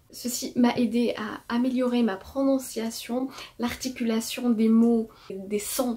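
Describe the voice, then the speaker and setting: Over noticeable background noise, a woman with a fairly high voice speaks at a very slow pace. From Morocco. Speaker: artist. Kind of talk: testimony with tips.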